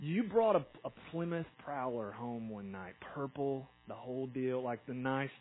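A man talks with lively intonation and a fairly high pitch. He has an ordinary speaking voice. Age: 30s. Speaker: pastor. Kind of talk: sermon.

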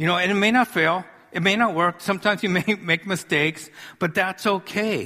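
A man speaks in a raised, projected voice at a fairly quick pace, his high-pitched, bright, sharp tone holding very even loudness and fairly even intonation. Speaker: pastor. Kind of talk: sermon. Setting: church. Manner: halting.

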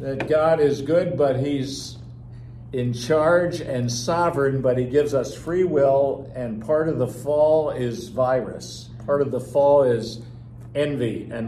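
A man with an American accent speaks at a fairly slow pace with ordinary pitch variation. Noticeable background noise and audible room echo surround him. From Pennsylvania (Harrisburg). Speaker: pastor and church coach. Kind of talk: sermon discussion.

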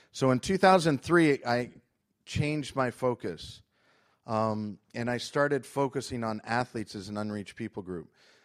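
A man with an American accent talks at a moderate pace in a normal speaking voice, medium in pitch with lively intonation. The recording is very clean with a silent background and a dry, close sound with no echo. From Florida and Venezuela. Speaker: missionary. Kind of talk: testimony. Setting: church service with congregation.

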